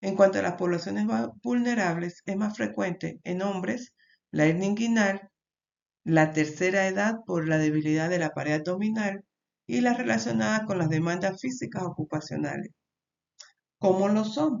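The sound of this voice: With a slightly mellow tone and some vocal fry, a woman talks at medium pitch and a moderate pace, her pitch varying in an ordinary way.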